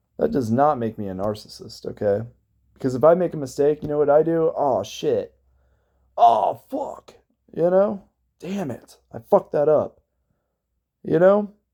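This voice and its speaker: A man with an American accent speaks at a moderate pace, his dark, mellow tone set at a fairly high pitch. His pitch swings very widely, and he leaves long, frequent pauses. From Cincinnati, Ohio, US Midwest. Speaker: abuse survivor vlogger. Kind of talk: personal testimony vlog. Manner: loud; animated.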